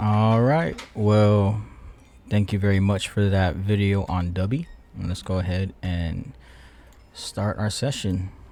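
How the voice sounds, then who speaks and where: Very slow, mumbled speech from a man, fairly low in pitch, dark and mellow in tone, with ordinary pitch variation. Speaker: futures trader and video creator. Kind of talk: trading session commentary. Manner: mumbling.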